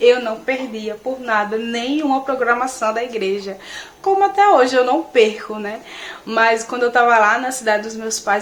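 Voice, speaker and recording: Amid noticeable background noise, a woman with a fairly high voice speaks at a moderate pace, her loudness swinging widely and her pitch varying in an ordinary way. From Natal, Rio Grande do Norte, Brazil. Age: 20s. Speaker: beauty and hair content creator. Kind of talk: religious testimony to camera.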